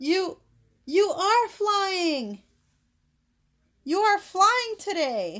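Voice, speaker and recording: A squeaky, put-on character voice, raised and projected, at a very slow pace with long, frequent pauses. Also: woman, extremely high pitch for a woman. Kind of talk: read-aloud children's book. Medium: read story. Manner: plain, simple short sentences.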